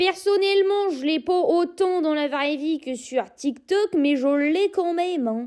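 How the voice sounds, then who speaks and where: With a Norman accent, a woman speaks at a very slow pace in an extremely high pitch, her intonation lively and her speech hardly pausing. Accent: Normandy accent, exaggerated for videos. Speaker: social media creator. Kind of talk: casual talk to camera.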